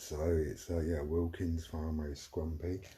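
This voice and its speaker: A quiet, somewhat breathy man with a very deep, low pitch, dark and mellow tone, and a very slow pace. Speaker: livestreamer. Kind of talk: casual chat. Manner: rambling, hesitant.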